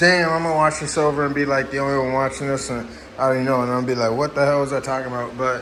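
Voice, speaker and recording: In a room with audible echo and noticeable background noise, a man talks at a very fast pace in a medium pitch with monotone, flat intonation. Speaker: cannabis grower YouTuber. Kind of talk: casual rambling monologue. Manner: halting, stuttering.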